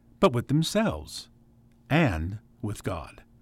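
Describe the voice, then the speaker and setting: With an American accent and vocal fry, a man speaks in a very clean recording against a silent background. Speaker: radio host. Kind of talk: radio program hosting.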